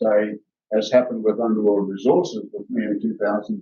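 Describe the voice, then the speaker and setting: A man is speaking. He has an Australian accent. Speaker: company executive, geologist. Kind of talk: investor presentation. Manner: fast.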